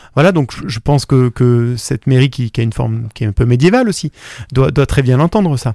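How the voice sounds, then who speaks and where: A man with a dark, mellow tone and medium pitch talks at a fairly quick pace with ordinary pitch variation in a dry, close sound with no echo. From France, Drôme (Valence). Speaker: singer-songwriter. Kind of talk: interview. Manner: halting, many repetitions and hesitations.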